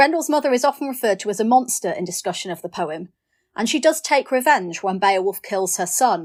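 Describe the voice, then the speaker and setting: Recorded very cleanly against a silent background, a woman with a northern English accent talks at a fairly quick pace. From northern England. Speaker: poet. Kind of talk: poetry reading with introductions.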